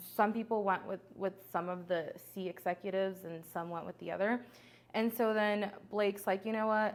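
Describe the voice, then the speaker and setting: A woman speaks with a Spanish accent at a medium pitch. Her pace is moderate. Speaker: entrepreneur. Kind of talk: podcast interview. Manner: animated.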